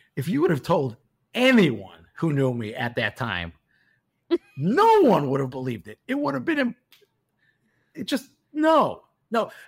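A man with a Chicago accent at a fairly slow pace, with long, frequent pauses. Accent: Chicago American. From US Midwest, Chicago. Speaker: car mechanic. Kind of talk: interview. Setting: studio.

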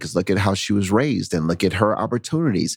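In a very clean recording with a silent background, a man with an unremarkable speaking voice speaks at a fairly quick pace and a fairly low pitch. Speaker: podcast host. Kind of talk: interview conversation.

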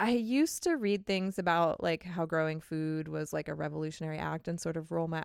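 In a very clean recording with a silent background, a woman with an American accent talks very fast in a fairly low voice, her tone upbeat and her pitch variation ordinary. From California coast. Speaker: podcast co-host and editor. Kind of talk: casual chat. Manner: laughs often, upbeat.

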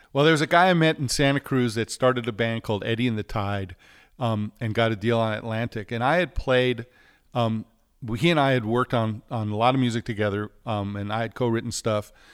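In a plain, everyday voice, a man with an American accent speaks at a medium pitch with ordinary pitch variation, in a very clean recording with a silent background and a dry, close sound with no echo. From New York City. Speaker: record producer and recording engineer. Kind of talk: casual interview chat.

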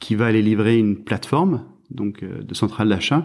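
The recording is very clean with a silent background, and the man on it has a fairly low voice. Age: 40s. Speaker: fruit and vegetable trade specialist. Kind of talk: interview. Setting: at his home. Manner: halting, many repetitions.

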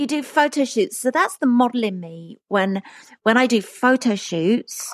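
With a British accent, a woman speaks at a fairly slow pace in a dry, close sound with no echo. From England. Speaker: pop singer. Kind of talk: casual interview. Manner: laughs a lot.

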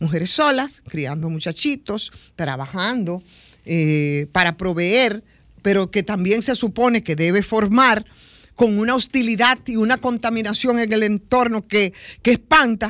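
A plain, everyday voice with lively intonation speaks at a fairly slow pace on a very clean recording with a silent background. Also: woman, fairly high pitch for a woman. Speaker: radio panelist. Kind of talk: radio talk show discussion.

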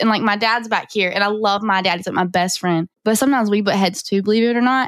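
Talking very fast, a woman with a Southern US accent has a fairly high pitch. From North Carolina. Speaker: auto shop marketer. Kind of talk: casual interview.

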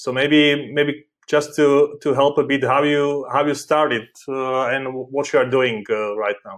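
A man with a fairly high pitch speaks at a very slow pace with fairly even intonation and hardly any pauses. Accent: non-native. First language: not English. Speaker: podcast host. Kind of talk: interview. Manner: halting.

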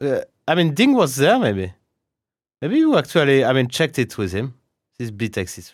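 Speaking at a moderate pace in a French accent, a man with a fairly high voice swings his pitch very widely and leaves long, frequent pauses. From France. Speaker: chess grandmaster and podcast host. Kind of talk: casual chat. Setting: video call.

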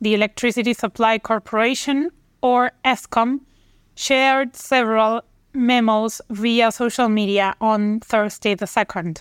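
A woman's fairly high voice, a plain, everyday voice, with very even loudness, fairly even intonation and a fairly slow pace, in a dry, close sound with no echo and a very clean recording with a silent background. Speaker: news reader. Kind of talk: news reading, scripted headline bulletin. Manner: formal, brisk, even newsreader delivery with steady pacing.

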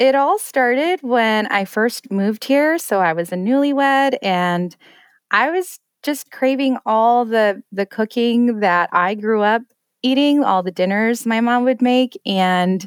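A woman with an American accent has a plain, everyday voice, pitched fairly high with ordinary pitch variation. The recording is very clean and dry, close with no echo, over a silent background. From Colorado, US (Denver). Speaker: home chef and recipe blogger. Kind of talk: podcast interview.

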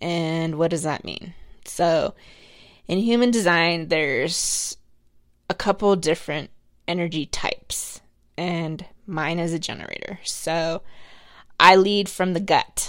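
A woman speaks at a fairly slow pace in a fairly low pitch, her intonation fairly even, with long, frequent pauses on a very clean recording with a silent background. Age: 30s. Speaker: podcast host. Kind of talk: solo monologue podcast. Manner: casual, conversational.

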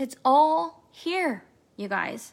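Using a raised, projected voice, a woman speaks with a bright, sharp tone and very wide pitch swings. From Kansas City, Missouri. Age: 40s. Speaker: spiritual coach. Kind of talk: recorded masterclass talk. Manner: animated.

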